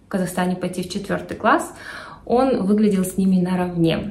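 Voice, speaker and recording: Somewhat breathy, a woman talks with ordinary pitch variation amid audible room echo. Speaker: parent vlogger. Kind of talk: casual vlog chat. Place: home room. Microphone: phone near.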